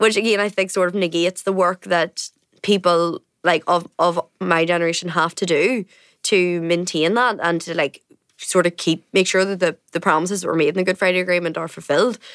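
A woman with a Northern Irish accent speaks at a fairly low pitch and a fairly quick pace. Her intonation is fairly even, on a very clean recording with a silent background. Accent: Northern Irish (Tyrone). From Northern Ireland, County Tyrone. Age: 20s. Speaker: journalist. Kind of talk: casual chat. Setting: studio.

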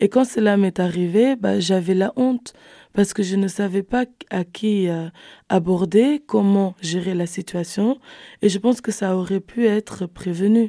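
A woman with a dark, mellow tone and medium pitch speaks at a fairly slow pace with ordinary pitch variation, in a very clean recording with a silent background and a dry, close sound with no echo. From Netherlands (Rotterdam), Cape Verdean family. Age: 20s. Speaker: social work student, youth volunteer. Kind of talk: panel discussion.

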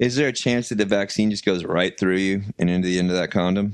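A fairly low-pitched man in an animated tone with ordinary pitch variation, against a quiet background. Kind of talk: casual comedy banter. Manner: animated, joking.

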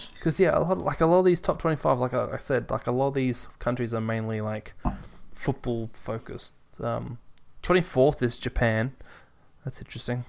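A man with an Australian accent at a moderate pace, medium in pitch with ordinary pitch variation. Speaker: podcast co-host. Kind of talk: casual chat.

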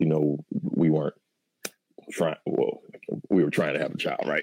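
A man with an American accent has a dark, mellow tone in a dry, close sound with no echo. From Michigan. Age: 40s. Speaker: school principal. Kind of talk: testimony. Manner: halting.

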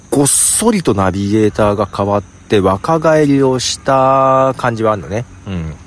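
There is noticeable background noise behind this man. His voice sits at a medium pitch. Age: 50s. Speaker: podcaster. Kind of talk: casual monologue. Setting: outdoors in a park.

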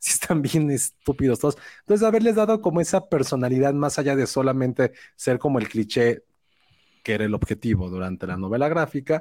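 With very wide pitch swings, a man speaks in a dark, mellow tone, the sound dry and close with no echo. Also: medium pitch for a man, fairly quick pace, very clean recording, silent background. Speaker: film podcast host. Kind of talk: casual chat. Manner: relaxing voice.

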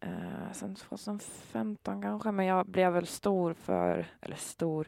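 The recording sounds dry and close, with no echo. A woman is talking. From Sweden, Gävle. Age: 20s. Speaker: social media commentator. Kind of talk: casual conversation. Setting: in a horse trailer at a trotting track.

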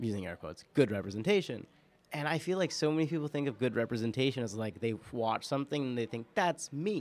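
Speaking at a very fast pace, a man with a New York accent uses a medium pitch and lively intonation in a very clean recording with a silent background. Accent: New York American. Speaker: podcast producer and guest co-host. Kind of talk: casual chat. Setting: studio.

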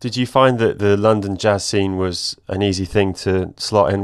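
This man speaks with an English accent. His voice is fairly low, with fairly even intonation. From England. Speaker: podcast host. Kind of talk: interview.

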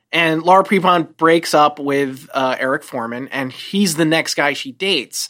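A woman with a very deep, low pitch speaks in an American accent at a moderate pace. She uses ordinary pitch variation and hardly any pauses. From New Jersey, US. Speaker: television writer, former medical researcher. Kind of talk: casual chat.

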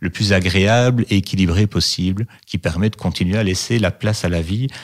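Speaking at a fairly slow pace with ordinary pitch variation, a man is heard on a very clean recording with a silent background. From Belgium, Liège. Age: 40s. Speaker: oncology nurse. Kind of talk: interview. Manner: hesitant, many fillers.

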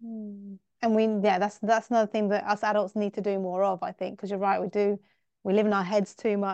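A woman with an English accent speaks at medium pitch and a fairly quick pace against a quiet background, with a dry, close sound and no echo. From England. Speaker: teacher and podcast host. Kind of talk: interview.

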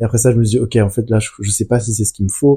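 In a very clean recording with a silent background, a man speaks at a medium pitch in a somewhat breathy voice with a monotone, flat intonation. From France. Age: 20s. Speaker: business school graduate. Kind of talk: casual chat.

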